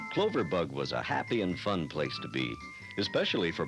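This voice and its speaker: Music playing behind a man speaking at a moderate tempo. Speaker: voice actor. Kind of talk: children's story narration.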